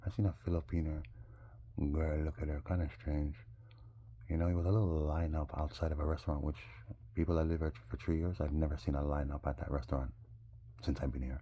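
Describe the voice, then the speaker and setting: A man with a very deep, low pitch talks at a very fast pace, using ordinary pitch variation and long, frequent pauses. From Jamaica. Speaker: vlogger. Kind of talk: casual monologue. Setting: smoking. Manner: animated.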